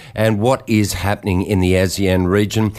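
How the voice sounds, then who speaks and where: Speaking with fairly even intonation, a man keeps a moderate pace. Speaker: radio news host. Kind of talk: radio news broadcast.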